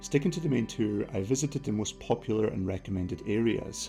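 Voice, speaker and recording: A man with a Scottish accent, fairly low in pitch, with lively intonation and a fairly quick pace over music in the background. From Scotland. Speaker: travel vlogger. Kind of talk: travel documentary narration.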